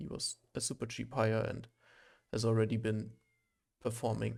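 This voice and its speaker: A man speaks with a German accent. His pace is fairly slow. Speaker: gaming streamer. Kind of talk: gameplay commentary. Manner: hesitant, many fillers.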